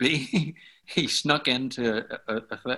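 Here a man's voice has a bright, sharp tone and ordinary pitch variation. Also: very clean recording, silent background. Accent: Belfast. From Northern Ireland, Belfast. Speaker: worship leader and songwriter. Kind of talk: interview, storytelling.

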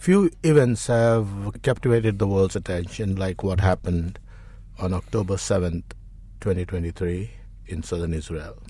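The voice is dark, mellow and somewhat breathy, with long, frequent pauses. The background is quiet. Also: man, very deep, low pitch for a man, ordinary pitch variation. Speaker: archbishop, podcast co-host. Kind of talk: interview; scripted narration.

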